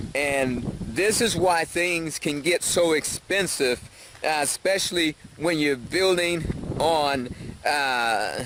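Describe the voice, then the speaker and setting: Against noticeable background noise, a man with a fairly high pitch speaks at a very slow pace, with ordinary pitch variation and very even loudness. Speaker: vlogger on expat life and building. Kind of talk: casual vlog talk to camera. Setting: outdoors walking down a hill. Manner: hesitant with fillers.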